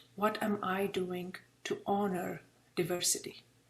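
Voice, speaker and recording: With an Indian accent, a woman speaks somewhat breathily at a fairly slow pace. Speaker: presenter, public speaking club leader. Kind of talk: interactive workshop presentation.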